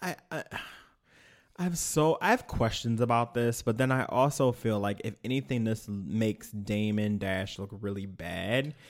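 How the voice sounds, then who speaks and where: A man's normal speaking voice, medium in pitch and at a fairly slow pace, in a very clean recording with a silent background. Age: 30s. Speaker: podcast co-host. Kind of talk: casual chat.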